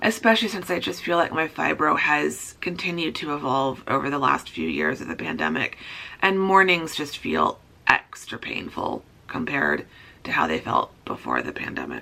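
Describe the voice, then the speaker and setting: Putting on a raspy character voice, a woman speaks at a moderate pace. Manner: tired, low energy.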